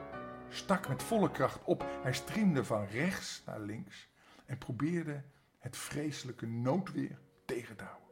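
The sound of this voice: An unforced reading voice carries the whole clip.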